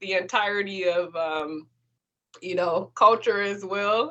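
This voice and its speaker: Ordinary pitch variation marks a woman's fairly slow delivery. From Detroit, USA. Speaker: creative writer. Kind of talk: podcast interview answer.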